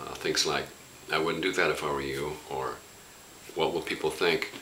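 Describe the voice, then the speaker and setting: Noticeable background noise and audible room echo surround a man talking at a moderate pace. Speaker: spiritual teacher. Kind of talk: reflective spoken talk. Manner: impassioned, warm; halting with fillers.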